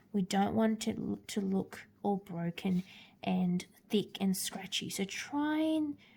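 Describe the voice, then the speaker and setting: A woman at medium pitch speaks at a very slow pace, her tone dark and mellow. She sounds somewhat breathy, with lively intonation. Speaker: art teacher. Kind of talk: tutorial. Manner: hesitant fillers.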